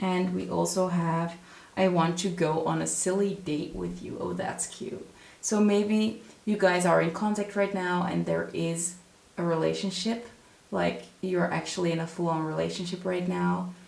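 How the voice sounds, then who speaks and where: In a room with audible echo and noticeable background noise, a woman talks with a Dutch accent. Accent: non-native English, Dutch. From Netherlands. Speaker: tarot reader. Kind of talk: tarot reading to camera. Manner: calm, unhurried.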